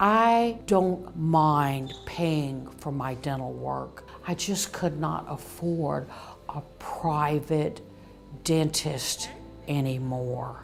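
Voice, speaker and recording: Over music in the background and with audible room echo, a woman speaks at a very slow pace with a very deep, low pitch and lively intonation. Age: 60s. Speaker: dental patient. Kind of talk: interview testimony.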